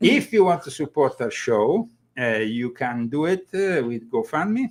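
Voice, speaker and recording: A man with an Italian accent speaks at a moderate pace and a fairly high pitch, his voice swinging very widely in pitch. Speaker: talk show host. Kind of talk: casual chat. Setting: live stream.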